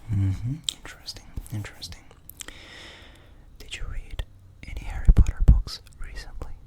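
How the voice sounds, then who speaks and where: The whispering proceeds at a moderate pace. Behind it lies noticeable background noise. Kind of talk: ASMR roleplay, whispered personality test. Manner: whispered, soft-spoken.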